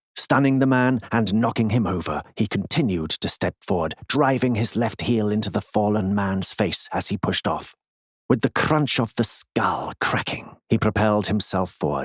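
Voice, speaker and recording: An ordinary speaking voice from a man, fairly low in pitch with ordinary pitch variation, comes at a moderate pace in a dry, close sound with no echo. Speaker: audiobook narrator. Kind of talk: audiobook narration.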